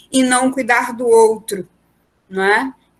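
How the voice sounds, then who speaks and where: Very slow pace, with ordinary pitch variation. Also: woman. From Amazonas interior, Brazil (Codajás). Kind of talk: group discussion, personal reflection. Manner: halting, with repetitions.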